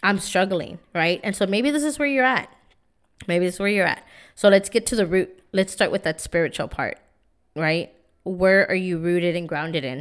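Here is a woman with a plain, everyday voice and an American accent. She speaks at medium pitch and a moderate pace with ordinary pitch variation. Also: very clean recording, silent background. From San Antonio, Texas (East Side). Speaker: podcast host, empowerment coach. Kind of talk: motivational monologue. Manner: casual, repetitive filler words.

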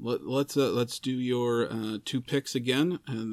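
A man speaks at a medium pitch and moderate pace. He has an unremarkable speaking voice with fairly even intonation. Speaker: podcast host. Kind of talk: casual chat. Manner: rambling, filler words.

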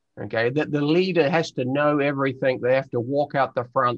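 Speaking in a New Zealand accent, a man goes at a very fast pace. His pitch shows ordinary variation. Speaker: explorer and leadership trainer. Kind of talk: interview.

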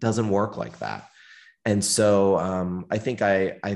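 Over a quiet background, a man with an American accent talks in a very deep, low pitch with fairly even intonation. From US Northeast, near Pittsburgh, Pennsylvania. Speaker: company CEO. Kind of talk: interview.

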